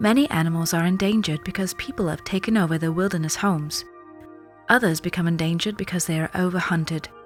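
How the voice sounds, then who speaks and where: Music plays behind a soft-spoken woman with a fairly low pitch. She talks at a very fast pace. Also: ordinary pitch variation. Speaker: voice actor. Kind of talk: soft ASMR book reading aloud. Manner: soft-spoken, quiet, relaxing.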